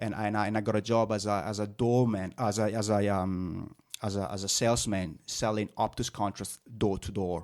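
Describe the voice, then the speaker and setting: A man speaks at a moderate pace, his fairly low voice keeping a fairly even intonation. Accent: slight Italian. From northern Italy. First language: Italian. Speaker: business owner. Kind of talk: interview. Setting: podcast. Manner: halting with many fillers.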